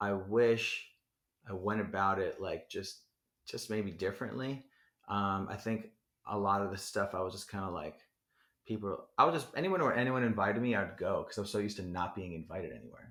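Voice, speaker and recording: This man speaks with a New Jersey accent. His fairly low voice has a bright, sharp tone. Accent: New Jersey American. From Edison, New Jersey. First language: Hebrew. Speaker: rapper. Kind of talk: casual chat. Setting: home in Brooklyn.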